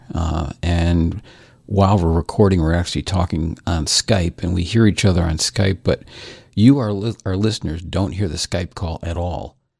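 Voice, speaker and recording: A man's very deep, low voice, somewhat breathy, in a dry, close sound with no echo. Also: ordinary pitch variation, moderate pace. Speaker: podcast co-host. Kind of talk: casual banter. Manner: hesitant, repeats words.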